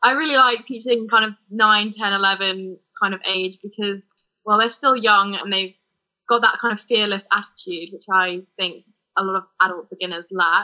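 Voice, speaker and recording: A woman with an unremarkable speaking voice talks at medium pitch. Her pace is moderate and her intonation fairly even. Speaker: ski instructor and blog co-founder. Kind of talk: casual chat.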